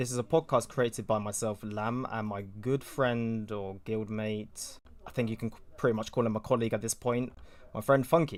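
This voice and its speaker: The speaker is a man with a British accent. The recording is very clean, with a silent background. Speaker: podcast host. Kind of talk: casual podcast intro. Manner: hesitant, many fillers.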